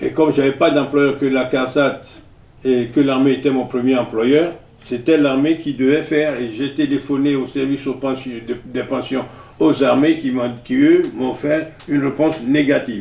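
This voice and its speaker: A man speaks at a fairly slow pace and a fairly high pitch. His intonation stays monotone and flat. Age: 80s+. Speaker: retired military veteran. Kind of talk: interview. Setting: at home. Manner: halting.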